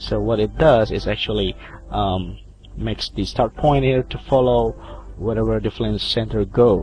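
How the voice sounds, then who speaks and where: The speaker has an Indonesian accent. The pace is moderate. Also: man. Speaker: video editing tutorial maker. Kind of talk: tutorial. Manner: halting.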